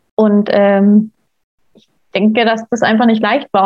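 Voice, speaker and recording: A woman speaks at a fairly slow pace. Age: 20s. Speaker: stepmother sharing her experience. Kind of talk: casual interview.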